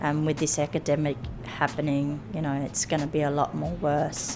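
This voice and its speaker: A woman speaks at a moderate pace with a very deep, low pitch. Her intonation is monotone and flat, and background noise is noticeable. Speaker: rail labourer. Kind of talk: personal testimony.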